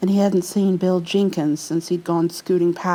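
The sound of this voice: An unforced reading voice keeps its intonation fairly even.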